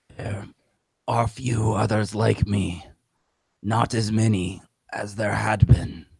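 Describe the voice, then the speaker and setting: A man puts on a character voice, gravelly and raspy at a fairly low pitch. His intonation is monotone and flat, broken by long, frequent pauses. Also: fairly slow pace. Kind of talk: elemental monster voice. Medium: actual play. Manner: slow, solemn, formal.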